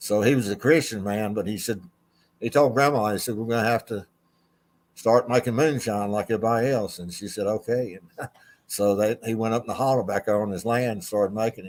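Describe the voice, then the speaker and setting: With an Appalachian accent, a man talks at a fairly quick pace. His pitch is medium and his intonation fairly even. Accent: US Southern (Appalachian North Carolina). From North Carolina. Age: 70s. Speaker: retired racing official. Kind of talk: interview. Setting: video call.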